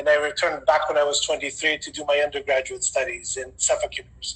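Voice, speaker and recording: Noticeable background noise sits under talk delivered very fast. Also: man. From Greece. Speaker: sports event management consultant. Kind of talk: webinar panel self-introduction.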